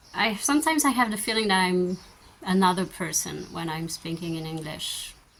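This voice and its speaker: Noticeable background noise sits behind a woman talking at a fairly quick pace. Her pitch is medium and her intonation is lively. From France. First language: French. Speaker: vlogger. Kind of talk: Q&A answers. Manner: hesitant, many fillers.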